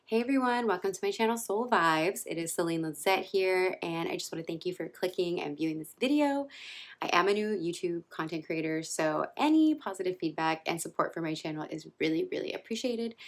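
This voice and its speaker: Soft-spoken and lively in intonation, a woman talks at a fairly quick pace with hardly any pauses. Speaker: vlogger. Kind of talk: personal storytelling vlog. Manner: soft-spoken, talking low.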